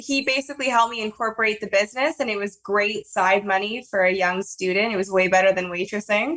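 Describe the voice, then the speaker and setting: With a Canadian accent, a woman talks at a fairly quick pace at a medium pitch in an unremarkable speaking voice. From Canada, Toronto. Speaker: marketing agency director. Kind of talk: podcast interview.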